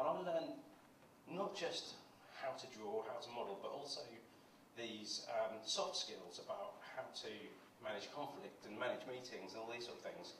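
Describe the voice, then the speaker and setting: Speech comes at a moderate pace with long, frequent pauses. There is audible room echo and light background noise. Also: man. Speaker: conference presenter. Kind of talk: conference talk. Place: stage.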